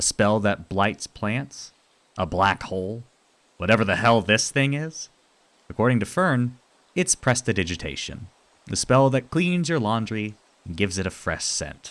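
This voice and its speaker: Long, frequent pauses break up a man's speech at a moderate pace. His medium pitch makes very wide swings. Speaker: YouTube video essayist. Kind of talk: scripted video essay narration; casual outro to viewers. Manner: loud.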